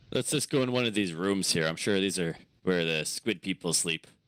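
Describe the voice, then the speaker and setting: A man puts on a character voice pitched very deep and low. He delivers it at a fairly quick pace. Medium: actual play. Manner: gruff, grumbling.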